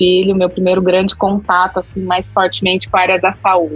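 Noticeable background noise sits under a woman's voice. She talks at a medium pitch and a fairly quick pace. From Brazil, interior of São Paulo state. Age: 40s. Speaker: customer experience professional. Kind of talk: interview.

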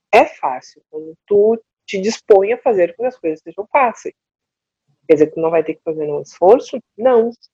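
A woman speaks at a moderate pace and medium pitch with very wide pitch swings. Her tone is dark and mellow, and the sound is dry and close with no echo. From southern Brazil, Porto Alegre. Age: 50s. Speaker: coach. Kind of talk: casual interview chat.

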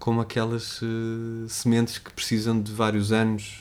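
Audible room echo surrounds a man whose fairly low voice stays monotone and flat. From Portugal, Trás-os-Montes. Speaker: writer. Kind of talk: casual interview. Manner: halting, many repetitions.

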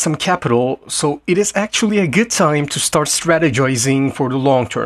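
The man has an unremarkable speaking voice, fairly high in pitch, with lively intonation at a fairly quick pace, and the sound is dry and close with no echo. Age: 20s. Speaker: entrepreneur podcast host. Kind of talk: solo monologue.

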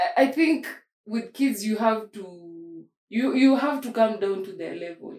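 Speaking fairly slowly in a plain, everyday voice, a woman uses lively intonation at a fairly high pitch, with big swings in loudness. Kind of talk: casual chat.

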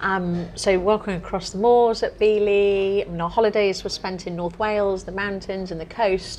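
Speaking at a moderate pace with hardly any pauses, a woman uses a medium pitch and a monotone, flat intonation. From rural England, tiny village. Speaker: restaurant co-owner and hospitality manager. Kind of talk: casual interview conversation. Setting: restaurant, on location.

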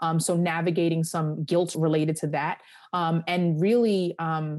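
With a quiet background, a woman talks at a moderate pace in a fairly low, dark, mellow voice. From Long Island, New York. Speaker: lawyer and career coach. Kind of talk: interview.

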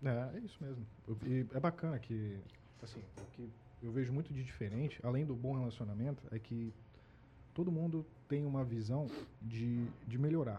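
A man with a medium pitch and a dark, mellow, somewhat breathy tone speaks at a moderate pace with ordinary pitch variation. He leaves long, frequent pauses. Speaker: supermarket employee, migrant from another region. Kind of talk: casual chat.

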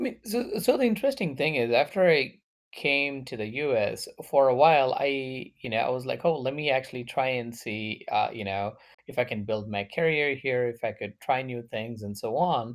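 A man speaks in a medium pitch at a moderate pace, with ordinary pitch variation. It is an ordinary speaking voice on a very clean recording with a silent background. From India and the US. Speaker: guest. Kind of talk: casual chat.

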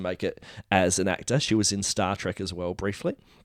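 On a very clean recording with a silent background and a dry, close sound with no echo, a man with a plain, everyday voice speaks fairly quickly at a fairly low pitch. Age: 40s. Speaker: podcast co-host. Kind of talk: casual chat.

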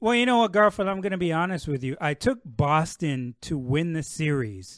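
A man with a Canadian accent and a fairly high voice talks at a moderate pace, his pitch swinging very widely, against a quiet background. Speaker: basketball analyst. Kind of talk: casual interview. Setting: outdoors in backyard.

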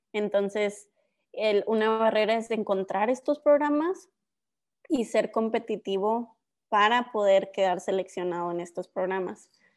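Her voice sits at a fairly high pitch. The woman talks at a fairly slow pace. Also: ordinary pitch variation. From northern Mexico (Ciudad Juárez, Coahuila). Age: 20s. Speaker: PhD student and science content creator. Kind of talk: interview.

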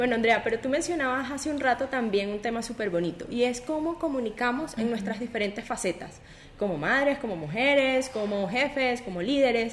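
Over noticeable background noise, a woman speaks at a fairly quick pace. Her voice is high, with lively intonation. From Venezuela. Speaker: podcast host. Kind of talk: interview.

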